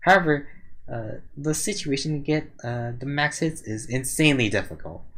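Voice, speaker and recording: A man's somewhat breathy voice at medium pitch. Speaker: gaming video reviewer. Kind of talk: game skill review commentary. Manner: hesitant, some stuttering.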